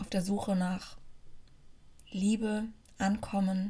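A woman speaks at a medium pitch in a somewhat breathy way. Her intonation is monotone and flat. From Germany, near Frankfurt (Hesse). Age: 30s. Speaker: podcast host. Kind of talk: personal testimony. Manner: casual, with fillers and hesitations.

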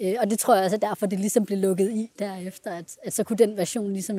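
Dark and mellow in tone, the voice runs at a very fast pace with monotone, flat intonation. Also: woman. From Denmark, Central Jutland. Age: 20s. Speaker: adoptee, university student. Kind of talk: personal testimony interview. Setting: on a train. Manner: hesitant, many fillers.

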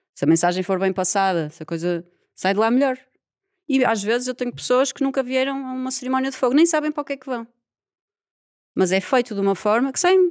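A woman speaks at a high pitch with a European Portuguese accent and very wide pitch swings. Her pace is fairly quick on a very clean recording with a silent background. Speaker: environmental engineer and yoga teacher. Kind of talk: casual interview chat.

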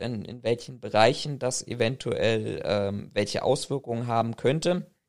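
On a very clean recording with a silent background, a man with an unremarkable speaking voice talks at medium pitch and a fairly slow pace, with ordinary pitch variation. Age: 30s. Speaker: private security professional. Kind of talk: research interview.

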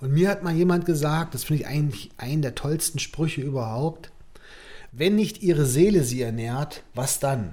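A man's fairly high voice, somewhat breathy, with a dark, mellow tone, ordinary pitch variation and a moderate pace. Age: 40s. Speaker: artist. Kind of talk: casual chat.

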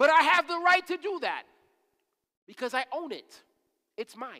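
A raised, projected male voice, animated in tone and bright and sharp, at a moderate pace. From Haitian family. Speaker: ministry leader preaching. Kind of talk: sermon. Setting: church service. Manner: animated, repetitive emphasis.

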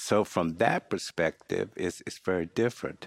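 A very clean recording has a silent background. The speech is in an American accent. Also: man, dry, close sound with no echo. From US South, North Carolina (Henderson). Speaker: retired business executive and church elder. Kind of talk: interview. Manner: halting.

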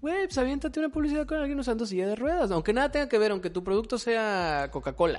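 The pace is very fast, with very wide pitch swings. The background is quiet. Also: man. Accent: Mexican. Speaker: podcast co-host. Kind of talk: casual chat.

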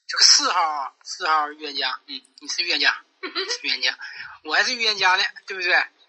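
A fairly quick pace broken by long, frequent pauses. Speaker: online werewolf game player. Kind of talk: game chat.

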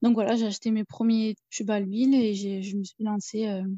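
Somewhat breathy and fairly high-pitched, the woman's voice has a dark, mellow tone. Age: 30s. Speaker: self-taught painter and nursing assistant. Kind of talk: casual interview.

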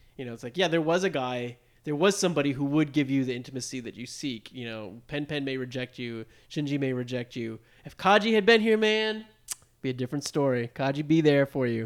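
An unremarkable speaking voice from a man with an American accent, fairly high in pitch, with lively intonation and big swings in loudness. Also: fairly quick pace. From United States. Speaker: podcast co-host. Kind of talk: casual chat.

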